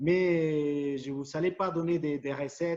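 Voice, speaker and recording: With a Spanish accent, the voice carries a dark, mellow tone and fairly even intonation. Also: man. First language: Spanish (speaking French). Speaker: futsal coach. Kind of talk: presentation to fellow coaches. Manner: halting, many repetitions and fillers.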